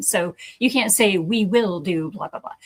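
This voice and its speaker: A woman with an unremarkable speaking voice talks at a medium pitch and a moderate pace. The sound is dry and close, with no echo. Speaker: accreditation consultant for addiction treatment programs. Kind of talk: educational talk.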